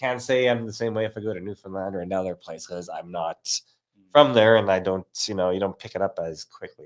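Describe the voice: Putting on a character voice with an Albertan accent, a man talks very fast in a raspy, fairly low voice with ordinary pitch variation, dry and close with no echo. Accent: Alberta.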